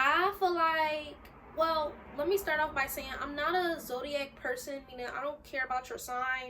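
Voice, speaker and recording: The voice is raised and projected, with a bright, sharp tone. It moves at a moderate pace with ordinary pitch variation. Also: woman, high pitch for a woman. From US, Philadelphia (North Philly). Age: 20s. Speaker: YouTuber. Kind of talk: casual vlog talk to camera. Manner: casual, animated.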